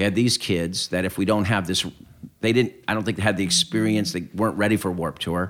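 A normal speaking voice with an American accent moves at a fairly quick pace and fairly even intonation. The recording is very clean, with a silent background. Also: man, fairly low pitch for a man. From Southern California (Claremont). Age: 50s. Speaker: music tour founder and promoter. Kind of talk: casual interview. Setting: at his home.

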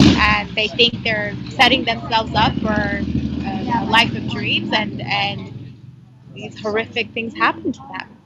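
Against noticeable background noise, a woman speaks at a very slow pace with big swings in loudness. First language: not English. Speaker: foreign correspondent. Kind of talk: interview. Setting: phone call outside a coffee shop.

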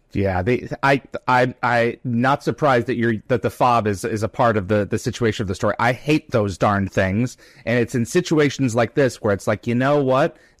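Over a silent background on a very clean recording, a man with an unremarkable speaking voice talks at a moderate pace and medium pitch, with ordinary pitch variation, very even loudness and a dry, close sound with no echo. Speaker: podcast host. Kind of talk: live-streamed interview. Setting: live stream with chat questions.

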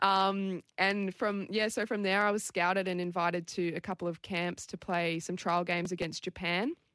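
A woman with an Australian accent speaks at a moderate pace and medium pitch with monotone, flat intonation and hardly any pauses, in a very clean, dry, close recording with no echo and a silent background. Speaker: Olympic rugby sevens player. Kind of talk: interview.

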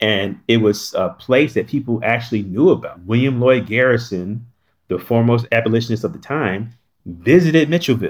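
Recorded very cleanly against a silent background, a plain, everyday voice with an American accent moves at a fairly quick pace with ordinary pitch variation. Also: man, medium pitch for a man. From North Carolina. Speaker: historic site director. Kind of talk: interview.

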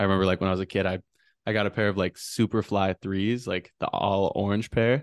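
A man with a plain, everyday voice and an American accent, fairly low in pitch, at a fairly quick pace, with fairly even intonation and very even loudness, in a dry, close sound with no echo over a quiet background. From Wisconsin, Wausau. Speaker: photographer. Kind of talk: casual chat. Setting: video call.

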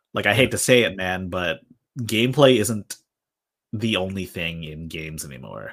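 A man's bright, sharp voice at a moderate pace with lively intonation, on a very clean recording with a silent background. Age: 30s. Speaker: content creator. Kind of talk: casual chat.

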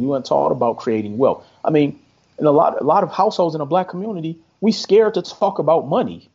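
Very wide pitch swings mark this man's American accent. He talks at a very fast pace. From Milwaukee, Wisconsin, US Midwest. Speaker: credit specialist and entrepreneur. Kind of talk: podcast interview.

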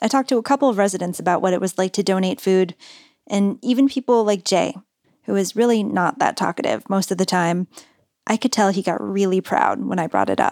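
In a very clean recording with a silent background and a dry, close sound with no echo, a woman speaks fairly quickly at a medium pitch in a normal speaking voice, with ordinary pitch variation and very even loudness. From California. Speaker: radio producer and reporter. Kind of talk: casual chat with narrated segments; scripted narration.

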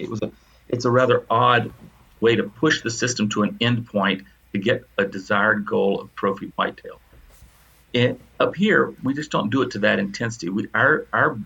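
A man with an American accent speaks at a medium pitch and a fairly quick pace. His tone is bright and sharp, with ordinary pitch variation. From US South. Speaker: retired professor. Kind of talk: casual chat.

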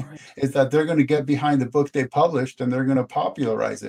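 This man's fairly high voice has a dark, mellow tone, a monotone, flat intonation and a dry, close sound with no echo. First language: not English. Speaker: author. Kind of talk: casual chat.

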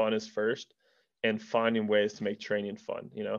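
A man speaks with an American accent. His voice is fairly low and his intonation monotone and flat. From Colorado, US. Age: 20s. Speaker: professional mountain biker. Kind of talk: casual interview chat.

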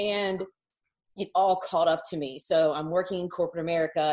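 Her pitch varies in an ordinary way as a woman with an unremarkable speaking voice talks at a fairly low pitch. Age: 30s. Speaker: online business coach. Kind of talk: casual chat.

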